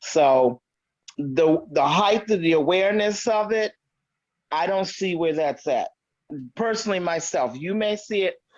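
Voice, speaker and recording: With an American accent, a woman at medium pitch speaks at a fairly slow pace, using lively intonation and long, frequent pauses. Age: 60s. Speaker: podcast guest. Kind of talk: casual chat.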